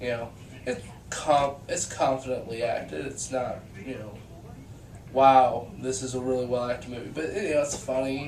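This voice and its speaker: A man at medium pitch and a moderate pace, with ordinary pitch variation and long, frequent pauses, amid audible room echo and noticeable background noise. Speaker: vlogger reviewing movies. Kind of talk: casual video review monologue. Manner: halting, many fillers and repeats.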